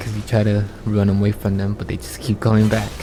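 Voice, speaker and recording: With music in the background, a soft-spoken man talks at a fairly low pitch in a monotone, flat intonation. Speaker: gaming streamer. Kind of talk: gameplay commentary. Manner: halting.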